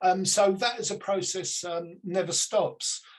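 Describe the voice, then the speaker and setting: A man with a British accent speaks in a high voice while music plays in the background. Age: 60s. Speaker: psychic medium. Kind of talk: interview. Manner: halting, many fillers.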